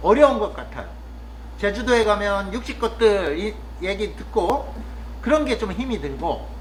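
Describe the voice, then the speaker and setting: This man talks fairly slowly, his voice carrying audible room echo amid noticeable background noise. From Chungcheong, Korea. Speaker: vlogger, rural cafe worker. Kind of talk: casual monologue vlog. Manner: hesitant, with frequent fillers.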